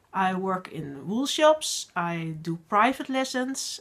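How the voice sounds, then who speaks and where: A woman speaks with a Dutch accent at a medium pitch. Her intonation is lively. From Netherlands. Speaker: podcast host, knitting designer and teacher. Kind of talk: casual video podcast monologue. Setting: home working space. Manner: halting, many fillers.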